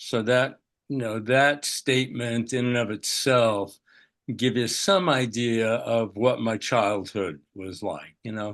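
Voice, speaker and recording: Against a quiet background, a man speaks. His pace is very slow. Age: 80s+. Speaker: psychotherapist. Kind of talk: interview. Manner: halting.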